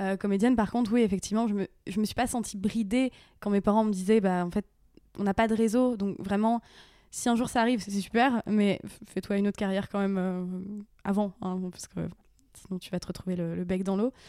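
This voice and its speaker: In a very clean recording with a silent background, a woman talks with fairly even intonation. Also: medium pitch for a woman, fairly quick pace. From northern France, Picardie (Aisne). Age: 30s. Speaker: actress and YouTube influencer. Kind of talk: casual interview chat. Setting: at home on a couch. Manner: hesitant, many fillers.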